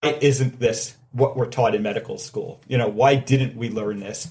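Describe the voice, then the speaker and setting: A man talks in a somewhat breathy voice. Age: 40s. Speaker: heart surgeon. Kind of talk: interview.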